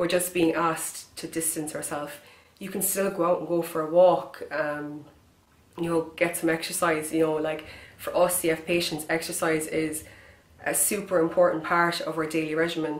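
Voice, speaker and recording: A woman with a Kerry accent speaks in a fairly low pitch with monotone, flat intonation. Room echo is audible. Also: moderate pace. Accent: Kerry Irish. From Ireland, County Kerry. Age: 20s. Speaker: person with cystic fibrosis making a public appeal. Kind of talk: direct-to-camera appeal. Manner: halting with fillers.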